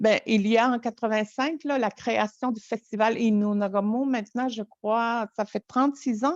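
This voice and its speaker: Recorded with a dry, close sound, no echo and a quiet background, a woman talks at a fairly slow pace with fairly even intonation and hardly any pauses. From Quebec, Innu community of Natashquan. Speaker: storyteller. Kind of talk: interview conversation. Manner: halting.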